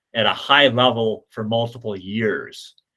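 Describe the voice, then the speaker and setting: A man talks at a fairly slow pace in a medium pitch. His intonation stays fairly even. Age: 60s. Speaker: kayak coach and former Olympic paddler. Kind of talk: lecture. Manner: halting, many fillers and repetitions.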